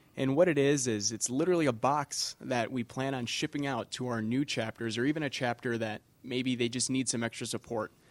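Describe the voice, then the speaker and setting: In an unremarkable speaking voice, a man with an American accent speaks at a medium pitch with fairly even intonation and hardly any pauses, in a very clean recording with a silent background and a dry, close sound with no echo. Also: fairly quick pace. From Wisconsin, Kenosha. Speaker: aviation association staff, chapter outreach. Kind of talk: casual chat.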